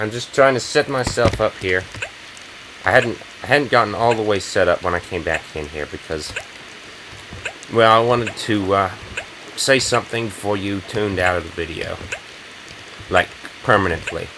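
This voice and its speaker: Speech comes at a moderate pace, broken by long, frequent pauses. Noticeable background noise sits underneath. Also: man, fairly low pitch for a man, ordinary pitch variation. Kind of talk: casual, direct address to viewers.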